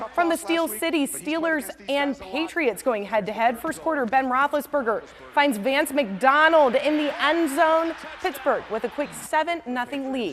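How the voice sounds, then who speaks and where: With music in the background, a woman in an upbeat, energetic tone speaks at a fairly slow pace in a high pitch with lively intonation. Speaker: sports anchor and reporter. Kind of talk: sportscast highlights narration.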